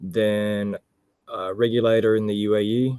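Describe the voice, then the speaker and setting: A man with a fairly low pitch and an Australian accent speaks at a very slow pace. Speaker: air traffic control expert. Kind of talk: webinar self-introduction.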